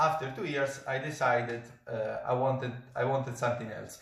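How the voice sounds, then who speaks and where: A man with an Italian accent speaks at medium pitch and a moderate pace. Noticeable background noise and audible room echo fill the recording. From Italy. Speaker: professional saxophonist. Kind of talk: product review. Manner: halting, many fillers.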